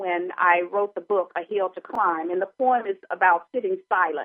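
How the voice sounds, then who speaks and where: At a moderate pace, a woman speaks with ordinary pitch variation in a plain, everyday voice. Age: 60s. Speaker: radio talk show host. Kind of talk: call-in radio show.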